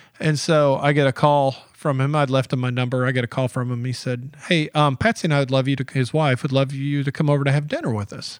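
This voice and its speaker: On a very clean recording with a silent background, a man with an American accent talks at a very fast pace in a fairly high pitch. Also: hardly any pauses. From US South, Georgia (Atlanta area). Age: 50s. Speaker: editorial cartoonist. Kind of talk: casual interview. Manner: animated.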